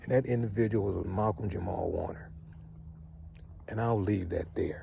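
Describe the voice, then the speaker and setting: A man speaks at a fairly low pitch with ordinary pitch variation. His tone is dark and mellow, and somewhat breathy. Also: moderate pace. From US West Coast, Southeast San Diego. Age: 60s. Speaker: vlogger, Morehouse alumnus. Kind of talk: casual monologue vlog. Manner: conversational, emphatic.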